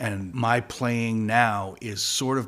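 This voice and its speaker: A man talks in an unremarkable speaking voice. His pitch is medium and his intonation fairly even. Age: 60s. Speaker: guitarist in a party cover band. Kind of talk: podcast interview. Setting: studio.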